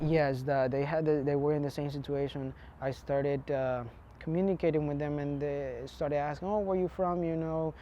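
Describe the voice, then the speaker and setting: At a moderate pace, a man talks with a Spanish accent. His pitch sits fairly high. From Honduras. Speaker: immigrant interviewee. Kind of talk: interview testimony. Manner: halting, many fillers and restarts.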